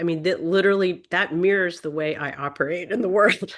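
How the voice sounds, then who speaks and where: A normal speaking voice at a moderate pace, with lively intonation. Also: woman. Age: 60s. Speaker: visual artist and protest artist. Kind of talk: Q&A discussion in a member meeting.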